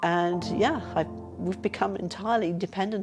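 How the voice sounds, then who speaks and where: A woman with an English accent, fairly low in pitch with ordinary pitch variation, at a moderate pace. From England. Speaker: retired physiotherapist and patient. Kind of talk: personal testimony interview. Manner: halting, with stammers and self-corrections.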